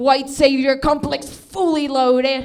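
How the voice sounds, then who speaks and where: In a Venezuelan accent, a woman speaks at high pitch in an animated tone, with room echo audible. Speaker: stand-up comedian. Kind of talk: stand-up. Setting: stage with audience.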